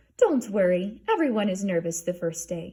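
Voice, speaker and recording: This is a put-on character voice with ordinary pitch variation. The pace is moderate. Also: woman, medium pitch for a woman. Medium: read story. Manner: gushing, brisk.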